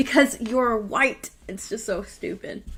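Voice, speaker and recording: Her tone bright and sharp, a woman speaks in an American accent with ordinary pitch variation. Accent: slight Texas twang, comes out sometimes. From Texas. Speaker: live stream show host. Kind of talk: casual chat. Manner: animated.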